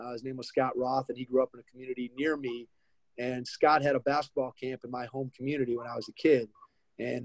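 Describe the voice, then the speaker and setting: The voice moves at a fairly quick pace with fairly even intonation, in a dry sound with no echo. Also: man, quiet background. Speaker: podcast host guest. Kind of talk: interview answer. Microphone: video call.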